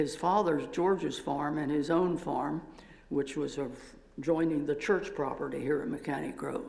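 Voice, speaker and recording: A man with an American accent speaks at a moderate pace, his voice fairly high with vocal fry. His pitch moves in an ordinary way, and there is audible room echo. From Pennsylvania. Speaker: retired professor. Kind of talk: church talk.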